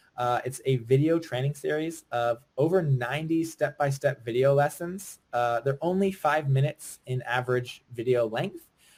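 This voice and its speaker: Speaking with an American accent, a man sounds somewhat breathy at a fairly high pitch. He uses hardly any pauses. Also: ordinary pitch variation. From Virginia, US. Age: 20s. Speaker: online business coach. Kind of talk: webinar sales pitch. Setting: live webinar. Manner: fast; animated.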